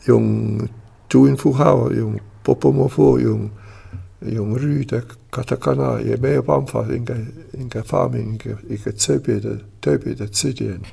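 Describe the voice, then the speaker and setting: Speaking with an Italian accent, a man uses a very deep, low voice with very wide pitch swings, keeping a moderate pace broken by long, frequent pauses. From Switzerland, Italian-speaking region. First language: Italian (speaking Chinese). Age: 80s+. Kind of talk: interview. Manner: halting.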